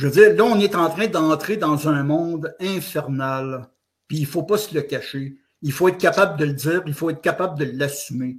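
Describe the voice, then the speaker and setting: A man talks in a Quebec accent at a moderate pace. His pitch sits fairly high and varies in an ordinary way. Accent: Québécois French. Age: 60s. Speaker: author and blogger. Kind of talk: interview. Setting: online audio space.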